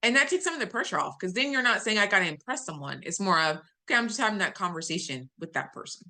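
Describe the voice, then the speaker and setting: Over a quiet background, a woman talks at a very fast pace in a bright, sharp tone. Her medium pitch makes very wide swings. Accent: American. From US South. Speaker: data analytics executive. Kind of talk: webinar talk. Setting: video call. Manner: clearly enunciated, newscaster-like; customer service voice.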